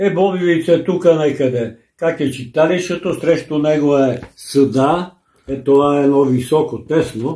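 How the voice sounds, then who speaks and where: Fairly high in pitch yet dark and mellow in tone, a man's voice moves at a fairly slow pace. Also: ordinary pitch variation. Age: 80s+. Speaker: grandfather sharing local memories. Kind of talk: casual family conversation.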